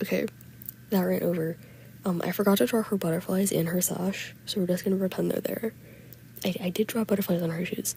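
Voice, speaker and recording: A soft-spoken voice at a fairly quick pace. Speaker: digital artist. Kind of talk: casual unscripted voiceover commentary. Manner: quiet, soft-spoken.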